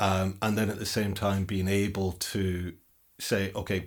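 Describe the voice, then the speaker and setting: In a northern English accent, a man speaks at a very deep, low pitch. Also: very clean recording, silent background. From northern England. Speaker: podcast host. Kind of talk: interview. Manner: halting, with frequent repetitions.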